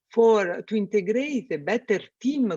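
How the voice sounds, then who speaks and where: Speaking fairly slowly with an Italian accent, a woman uses ordinary pitch variation. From Italy. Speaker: space systems engineer. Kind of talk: podcast interview. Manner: halting, many fillers.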